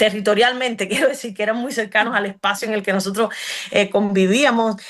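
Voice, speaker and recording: With a Cuban accent, a woman speaks at a fairly quick pace in a fairly high voice with fairly even intonation. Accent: Cuban accent, unchanged. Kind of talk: interview conversation. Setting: radio program. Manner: hesitant with many fillers.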